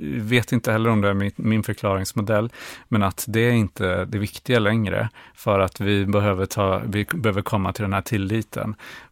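A man's fairly low voice at a moderate pace, with fairly even intonation, recorded very cleanly against a silent background with a dry, close sound and no echo. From rural Sweden. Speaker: therapy client. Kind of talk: therapy session. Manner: halting.

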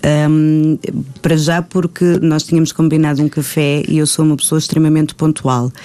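The voice holds a very even loudness with monotone, flat intonation. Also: woman, very deep, low pitch for a woman, moderate pace. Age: 30s. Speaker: actress. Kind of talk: casual chat.

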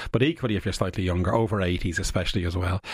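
A man with a very deep, low pitch, a very fast pace and a somewhat breathy voice, in an Irish accent. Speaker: immunology professor. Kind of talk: radio interview. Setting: studio. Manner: animated.

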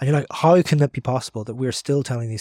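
Talking at a very fast pace with a Northern Irish accent, a man with a medium pitch sounds somewhat breathy, with ordinary pitch variation, in a very clean recording with a silent background and a dry, close sound with no echo. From Northern Ireland, Derry. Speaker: author and journalist. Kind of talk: casual chat.

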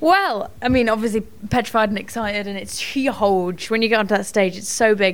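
A woman with a fairly high voice speaks at a fairly quick pace, with ordinary pitch variation and big swings in loudness. Noticeable background noise runs behind her. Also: hardly any pauses. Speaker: actress and singer. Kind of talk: casual chat.

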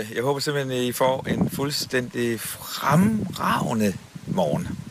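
Noticeable background noise sits behind a man speaking at a very slow pace. His medium-pitched voice carries lively intonation. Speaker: radio host. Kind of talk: casual chat.

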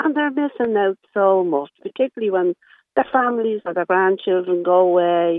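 With an Irish accent, a woman talks at a moderate pace using lively intonation. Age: 70s. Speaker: caller, social care worker. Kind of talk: radio phone-in discussion. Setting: phone call.

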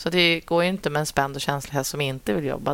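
Against noticeable background noise, a woman with a very deep, low pitch talks at a fairly quick pace with ordinary pitch variation. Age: 30s. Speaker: dressage rider and trainer. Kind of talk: casual interview. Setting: at a horse show.

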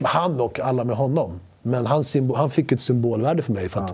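A man speaks with a Spanish accent. His intonation is lively and his voice somewhat breathy. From Sweden, Spanish-speaking family. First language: Spanish (speaking Swedish). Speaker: actor. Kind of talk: casual chat. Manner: animated.

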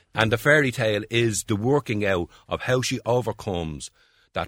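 With a Dublin accent and vocal fry, a man speaks at a moderate pace and fairly low pitch, his voice swinging very widely in pitch on a very clean recording with a silent background. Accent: Dublin Irish. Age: 60s. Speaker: playwright and writer. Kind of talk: interview about favourite books.

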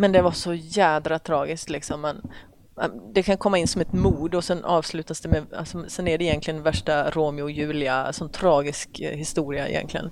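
Against noticeable background noise, a woman speaks with a very deep, low pitch and fairly even intonation. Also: moderate pace. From Sweden, Oskarshamn (Småland). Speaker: police officer. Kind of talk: casual interview chat. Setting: men's locker room at a golf club.

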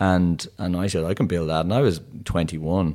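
In a Dublin accent, a man speaks at a fairly quick pace with a very deep, low pitch. The recording is very clean, with a silent background. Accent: Irish (Dublin). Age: 50s. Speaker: tech entrepreneur. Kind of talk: interview.

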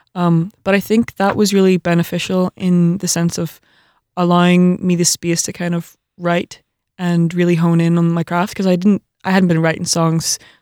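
Heard in a very clean recording with a silent background, dry and close with no echo, an unremarkable speaking voice moves at a moderate pace. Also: woman. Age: 20s. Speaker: singer-songwriter. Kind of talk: radio interview. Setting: studio.

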